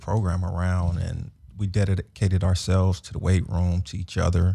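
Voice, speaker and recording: On a very clean recording with a silent background, a man speaks with an American accent. His voice is very deep and low, somewhat breathy, with a dark, mellow tone. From Los Angeles. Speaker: former football player. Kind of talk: casual interview. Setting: studio.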